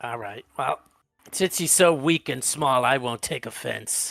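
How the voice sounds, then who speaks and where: A man does a raspy, put-on character voice at medium pitch and a fairly slow pace, on a very clean recording with a silent background and a dry, close sound with no echo. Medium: actual play. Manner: blunt, offhand.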